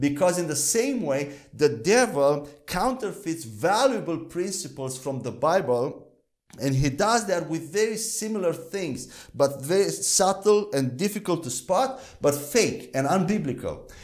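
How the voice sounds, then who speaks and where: Over a quiet background, a man speaks at a fairly slow pace with very wide pitch swings. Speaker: Bible teacher. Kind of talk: teaching lecture. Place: studio. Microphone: lapel.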